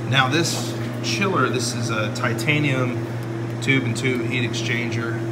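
Loud background noise runs through the clip. Over it, a man talks at a fairly slow pace. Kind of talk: tutorial. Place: workshop. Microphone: phone near.

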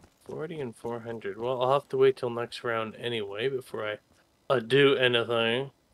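Someone talks in a normal speaking voice at a moderate pace. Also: man, medium pitch for a man. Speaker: gaming YouTuber. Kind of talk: gaming let's play commentary. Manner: excitable.

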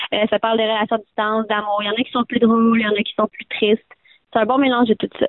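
A woman talks at a very fast pace in a Quebec accent. Her pitch sits fairly high. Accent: Québécois French. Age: young. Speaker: folk-country singer. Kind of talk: interview. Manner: energetic.

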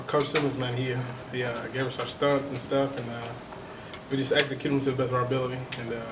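A man at a fast pace, medium in pitch with little pitch movement, over clear background noise

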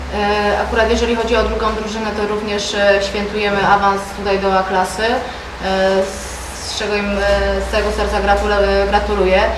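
The speech stays flat and monotone, broken by long, frequent pauses over noticeable background noise. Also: man, high pitch for a man. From Poland. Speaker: club president. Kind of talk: press conference. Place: meeting room.

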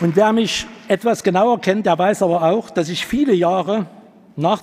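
This is a man speaking. His pace is moderate. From eastern Germany, Leipzig; eastern Germany. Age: 60s. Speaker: party candidate, taxi driver; candidate. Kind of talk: candidate speech. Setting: hall with audience. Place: hall. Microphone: podium.

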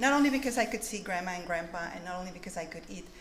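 A woman speaks with audible room echo. Light background noise sits behind her. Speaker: author. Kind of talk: conference keynote address. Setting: stage with audience. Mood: warm, reminiscent. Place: hall. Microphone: podium.

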